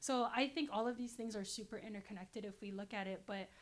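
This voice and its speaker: A woman talks at a very fast pace in a Guam accent. Her voice is fairly high, with fairly even intonation. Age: 20s. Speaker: political science background guest. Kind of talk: casual interview. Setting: filmed at a women's business center.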